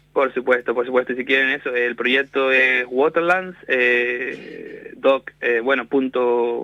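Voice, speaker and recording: A man with a Canarian accent speaks very slowly in a medium pitch. His intonation is fairly even, and background noise is noticeable. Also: hardly any pauses. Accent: Canarian Spanish, still noticeable. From Canary Islands, Spain. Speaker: wetland ecologist. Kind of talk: radio interview. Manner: halting.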